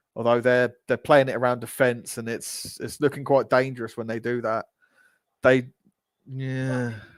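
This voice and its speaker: With a Geordie accent, a man speaks at medium pitch and a moderate pace, his loudness swinging widely. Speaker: football fan streamer. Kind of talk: live match watch-along commentary. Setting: live stream. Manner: animated.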